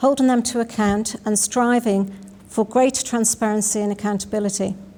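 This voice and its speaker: Over noticeable background noise, a woman speaks fairly quickly at a fairly high pitch with monotone, flat intonation. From Isle of Man. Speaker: election candidate, sitting politician. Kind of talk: prepared campaign statement.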